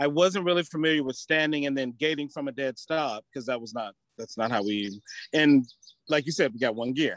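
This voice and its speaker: A man's normal speaking voice, fairly high in pitch, with an American accent, a fairly quick pace and ordinary pitch variation, in a dry, close sound with no echo. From US South, Alabama (Tuscaloosa). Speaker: chocolatier and horse competitor. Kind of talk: casual interview.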